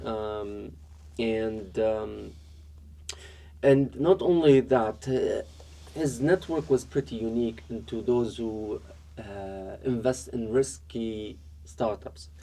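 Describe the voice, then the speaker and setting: Over noticeable background noise, a man with an Arabic accent speaks very slowly at medium pitch, swinging very widely in pitch and pausing long and often. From Iraq, raised also in Dubai and China. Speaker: entrepreneur, app co-founder. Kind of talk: podcast interview. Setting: studio. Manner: halting, many fillers and repetitions.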